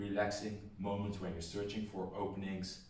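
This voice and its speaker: There is audible room echo as a man talks at a moderate pace with a fairly low pitch. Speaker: boxing coach. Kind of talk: tutorial. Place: home room. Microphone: camera far.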